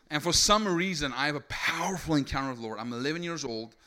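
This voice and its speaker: In a South African accent, a man with a fairly high pitch talks at a fairly quick pace in an animated, bright, sharp tone with ordinary pitch variation, on a very clean recording with a silent background. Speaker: preacher. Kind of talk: sermon. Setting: stage with audience.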